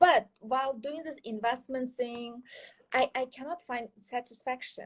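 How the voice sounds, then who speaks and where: Lively intonation marks this woman's high-pitched voice. She speaks at a fairly slow pace. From Kyrgyzstan and China. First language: Chinese. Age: 30s. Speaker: social entrepreneur and investment consultant. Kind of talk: interview. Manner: halting.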